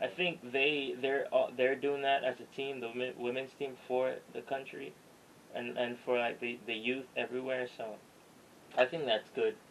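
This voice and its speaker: Noticeable background noise beneath a man's medium pitch. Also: fairly even intonation, moderate pace. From Jamaica, moved to New York at 12. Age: young. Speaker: aspiring writer. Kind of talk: podcast interview answer.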